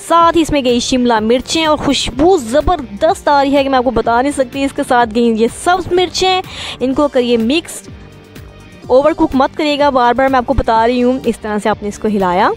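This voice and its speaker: A woman speaks with a high pitch and ordinary pitch variation at a fairly slow pace, her loudness very even. The sound is dry with no echo, and faint music plays in the background. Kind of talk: cooking tutorial narration. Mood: warm, friendly. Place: kitchen.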